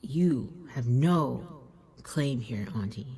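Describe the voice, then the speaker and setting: A put-on character voice hisses along at a low-to-middle pitch. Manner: hissing warning.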